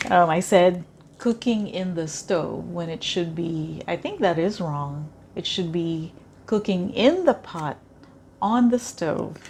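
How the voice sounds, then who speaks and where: A woman's somewhat breathy, fairly low voice with a Filipino accent, at a very slow pace with ordinary pitch variation. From Philippines. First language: Tagalog. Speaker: cooking vlogger. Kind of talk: cooking tutorial. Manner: hesitant, many fillers.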